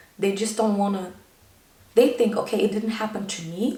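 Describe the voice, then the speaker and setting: A woman with a medium pitch talks at a fairly quick pace, her intonation fairly even. The recording has audible room echo and noticeable background noise. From Germany. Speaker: YouTuber. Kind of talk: personal vlog monologue.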